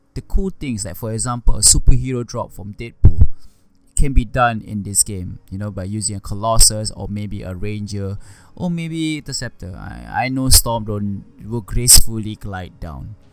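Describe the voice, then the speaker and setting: Mumbling at a moderate pace, a man speaks with a fairly low pitch and ordinary pitch variation. His loudness swings widely. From Singapore. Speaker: gaming YouTuber. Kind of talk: unscripted game review. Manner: unscripted, rambling with mumbling; halting with repetitions.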